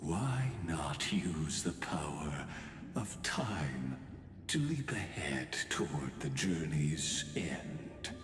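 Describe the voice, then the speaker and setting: A man's put-on character voice, very deep and low, at a very slow pace, with clear echo and clear background noise. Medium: video game. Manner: measured, somber.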